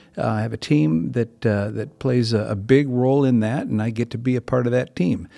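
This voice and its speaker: With an American accent and a dark, mellow tone, the speaker moves at a fairly quick pace with hardly any pauses and ordinary pitch variation. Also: man, medium pitch for a man. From Minnesota. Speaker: pastor. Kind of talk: casual chat. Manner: halting.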